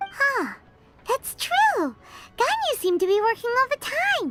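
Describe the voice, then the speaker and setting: An extremely high, squeaky put-on character voice at a moderate pace. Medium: video game. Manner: blunt, inquisitive.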